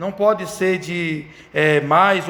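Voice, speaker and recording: The recording has audible room echo. Noticeable background noise can be heard too. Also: man. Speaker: Sunday school teacher trainer. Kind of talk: lecture. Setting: church. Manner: halting.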